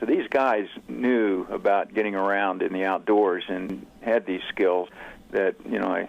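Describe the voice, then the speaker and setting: A man's normal speaking voice, fairly low in pitch, with ordinary pitch variation and a fairly slow pace. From Oklahoma, US (Oklahoma City). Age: 60s. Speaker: author and outdoorsman. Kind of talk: interview.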